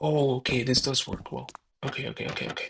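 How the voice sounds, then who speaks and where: A soft-spoken man talks at a fairly quick pace. His pitch is fairly high. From Mexico. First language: Spanish. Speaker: gaming video creator. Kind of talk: casual gameplay commentary. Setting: alone in own room. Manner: hesitant, many fillers.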